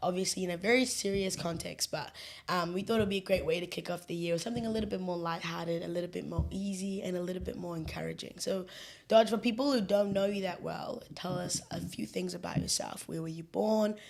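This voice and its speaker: Talking at a very fast pace, a woman with a New Zealand accent uses an animated tone, a medium pitch and ordinary pitch variation. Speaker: social media coordinator and show host. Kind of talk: casual chat.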